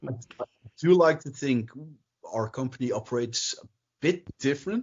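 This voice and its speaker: Speaking at a fairly quick pace with a non-native accent, a man uses a fairly high, somewhat breathy voice with ordinary pitch variation and big swings in loudness. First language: not English. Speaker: miniature company owner. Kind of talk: interview.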